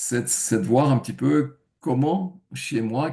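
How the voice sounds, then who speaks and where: A man's very slow delivery in a dark, mellow tone. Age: 70s. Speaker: testimonial giver, retired IT engineer. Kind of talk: testimony. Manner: hesitant, many fillers.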